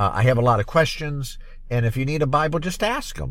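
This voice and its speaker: Vocal fry runs through this man's voice. He talks at a very fast pace. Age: 50s. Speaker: podcast host. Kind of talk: solo commentary podcast. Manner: halting, many fillers and repetitions.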